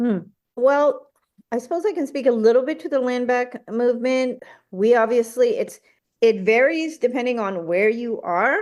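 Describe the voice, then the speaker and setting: Her high-pitched voice moves with lively intonation. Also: moderate pace. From New England, Cape Cod. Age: 60s. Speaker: native scholar and journalist. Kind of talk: interview.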